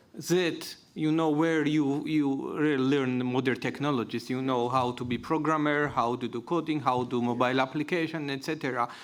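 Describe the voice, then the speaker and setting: Talking at a moderate pace with hardly any pauses, a man with a Georgian accent has a fairly high pitch. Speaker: panelist. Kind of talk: panel discussion.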